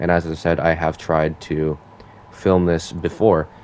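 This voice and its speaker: A man speaks with a very deep, low pitch. Background noise is noticeable. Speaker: gaming youtuber. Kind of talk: gameplay commentary. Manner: halting, filler words; casual.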